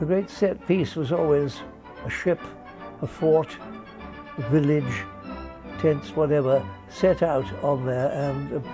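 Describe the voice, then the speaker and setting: Music plays in the background as a man with a fairly high pitch speaks at a fairly slow pace. He uses lively intonation and takes long, frequent pauses. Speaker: air show commentator, retrospective narrator. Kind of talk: casual spoken commentary over newsreel footage. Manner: unscripted, hesitant, conversational.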